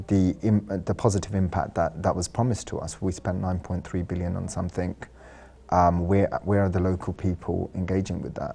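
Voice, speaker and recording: Speaking with a London accent, a man uses a very deep, low pitch and a dark, mellow tone, keeping a fairly quick pace and fairly even intonation. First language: Sylheti. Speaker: architect and artist. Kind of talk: TV interview.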